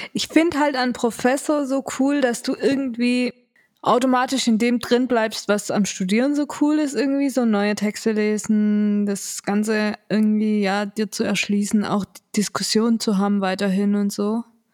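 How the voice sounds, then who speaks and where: With an unremarkable speaking voice, a woman talks at a moderate pace in a fairly high pitch, using ordinary pitch variation. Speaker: podcast co-host, daughter of the other host, student. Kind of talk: casual chat.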